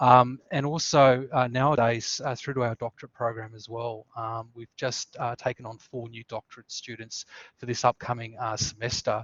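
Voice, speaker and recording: A man talks with a strong Australian accent in a medium pitch, at a moderate pace with hardly any pauses. His intonation is monotone and flat, though his loudness swings widely. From Tasmania, Australia. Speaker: student services coordinator. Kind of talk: webinar presentation. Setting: online webinar. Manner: many fillers (uh, um).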